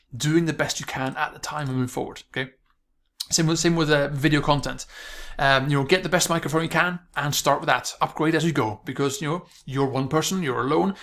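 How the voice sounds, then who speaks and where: A man mumbles at a fairly quick pace in a fairly high voice with fairly even intonation, recorded very cleanly against a silent background. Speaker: online marketing coach. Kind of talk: video tutorial monologue. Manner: fast; mumbling, stuttering.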